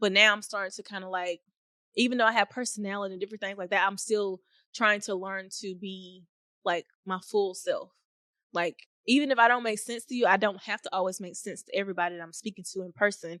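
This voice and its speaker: Against a quiet background, a woman talks at a very fast pace and medium pitch, her bright, sharp tone captured dry and close with no echo, her intonation fairly even while her loudness swings widely. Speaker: podcast host. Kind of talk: casual monologue.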